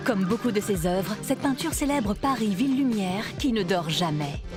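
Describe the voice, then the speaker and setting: A woman's playful voice at medium pitch, with very wide pitch swings, a moderate pace and music in the background. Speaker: voice-over actress. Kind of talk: museum web series narration, educational art explainer. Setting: studio. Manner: lively, playful.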